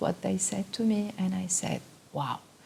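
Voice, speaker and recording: A woman's medium-pitched voice comes through with noticeable background noise. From Tunisia. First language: Arabic or French. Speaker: photographer and artist. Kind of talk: interview monologue. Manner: halting, many fillers.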